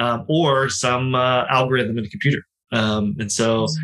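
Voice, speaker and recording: Fairly slow and fairly even in intonation, a man with an American accent speaks at medium pitch in a bright, sharp tone. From Ohio Valley, eastern Ohio. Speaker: real estate investor. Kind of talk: interview.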